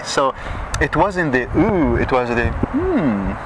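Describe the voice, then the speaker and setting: Very wide pitch swings in a man's speech, with noticeable background noise behind it. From Saudi Arabia. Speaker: Middle Eastern dancer. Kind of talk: interview answer. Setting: outdoors.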